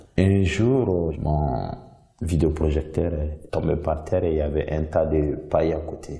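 A man speaks with a very deep, low pitch and fairly even intonation. Noticeable background noise runs behind him. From Mali. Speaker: visual artist. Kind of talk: artist presentation monologue.

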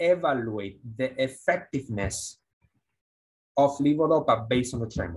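Against a quiet background, a man talks at a fairly slow pace with a somewhat breathy sound. His intonation is lively. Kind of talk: lecture. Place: studio.

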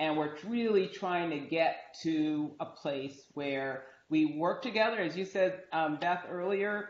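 A woman with an American accent speaks at a fairly low pitch and a fairly slow pace, with ordinary pitch variation. Audible room echo surrounds her voice. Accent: American-sounding. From outside the US. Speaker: university dean; panelist. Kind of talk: moderated panel discussion; panel discussion answer. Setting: video call. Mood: earnest, reflective. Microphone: video call.

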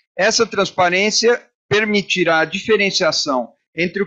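Pitch varies in an ordinary way at a moderate pace. Behind the voice, the background stays quiet. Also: man. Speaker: moderator. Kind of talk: panel moderation. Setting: stage with audience. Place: hall. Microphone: handheld.

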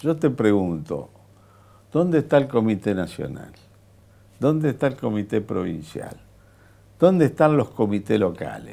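A man's fairly low voice with vocal fry and very wide pitch swings, at a fairly slow pace with long, frequent pauses. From Argentina. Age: 70s. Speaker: politician. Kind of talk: interview. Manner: animated. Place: studio. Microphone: lapel.

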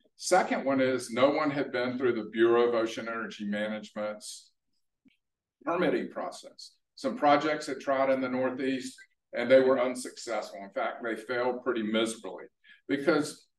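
Audible room echo, a moderate pace, and ordinary pitch variation. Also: man. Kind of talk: presentation talk. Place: hall. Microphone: camera far.

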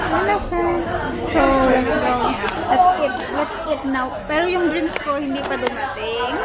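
A woman talks at a fairly slow pace. Crowd noise can be heard in the background. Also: ordinary pitch variation. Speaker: food vlogger. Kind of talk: casual vlog chat. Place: cafe. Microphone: phone near.

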